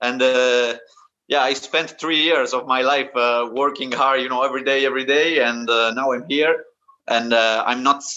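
A man's medium-pitched voice with an Italian accent, flat monotone intonation and a moderate pace. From Italy. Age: 20s. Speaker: calisthenics athlete. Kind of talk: interview. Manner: halting.

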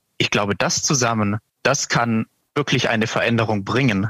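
A plain, everyday voice, a man speaks at a medium pitch and moderate pace with ordinary pitch variation, the sound dry and close with no echo. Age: 20s. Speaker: portfolio manager. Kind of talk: interview.

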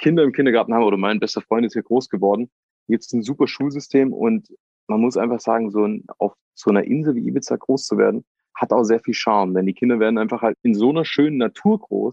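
Medium pitch and ordinary pitch variation mark this man's voice. He talks very fast. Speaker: reality TV contestant. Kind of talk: casual interview. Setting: outdoors.

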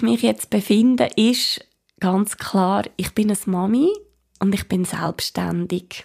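A woman speaks with lively intonation and a dark, mellow tone on a very clean recording with a silent background. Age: 30s. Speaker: podcast host, small business owner. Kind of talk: personal monologue.

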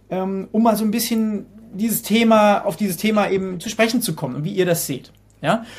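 A man with a high pitch speaks at a moderate pace. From Hesse, Germany. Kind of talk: casual interview.

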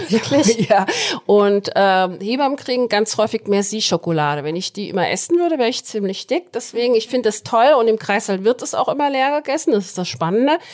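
The speaker goes at a fairly quick pace with very wide pitch swings. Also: woman, fairly high pitch for a woman. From Hesse, Germany. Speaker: head midwife. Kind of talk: podcast interview.

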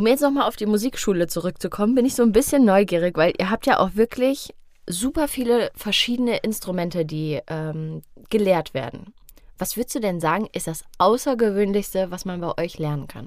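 In a plain, everyday voice, a woman with a medium pitch speaks at a moderate pace with lively intonation. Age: 20s. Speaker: podcast host. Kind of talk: casual interview. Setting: studio.

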